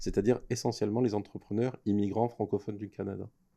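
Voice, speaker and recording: His voice is fairly low for a man, with a dark, mellow tone and ordinary pitch variation. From France. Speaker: entrepreneur, incubator co-founder. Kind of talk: podcast interview.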